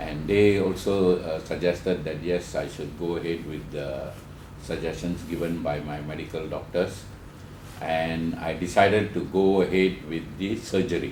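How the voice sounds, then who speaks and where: The intonation stays fairly even at a moderate pace. Room echo is audible. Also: man, very deep, low pitch for a man. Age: 60s. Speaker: cancer survivor and counselor. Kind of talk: personal testimony in a webinar. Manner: halting, frequent filler words.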